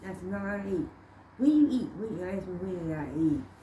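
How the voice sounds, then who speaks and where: Her voice has a dark, mellow tone and is somewhat breathy, moving at a fairly quick pace with very wide pitch swings around a medium pitch for a woman. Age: 80s+. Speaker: grandmother and great-grandmother. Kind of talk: casual family conversation, answering questions.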